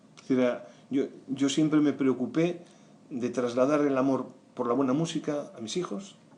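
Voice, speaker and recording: Taking long, frequent pauses, a man speaks at a moderate pace with medium pitch and ordinary pitch variation. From Galicia, Spain. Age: 60s. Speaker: writer, podcast guest. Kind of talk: interview answer.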